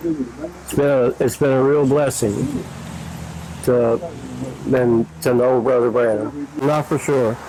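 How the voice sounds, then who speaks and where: With an American accent, a man at medium pitch speaks at a very slow pace with long, frequent pauses, very even loudness and fairly even intonation, over noticeable background noise. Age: 70s. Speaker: church member. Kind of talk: interview.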